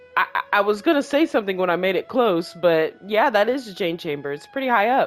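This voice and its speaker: Backed by music, a woman talks very fast at a medium pitch with very wide pitch swings. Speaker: gaming streamer. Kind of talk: let's play commentary. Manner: stuttering; casual, chatty.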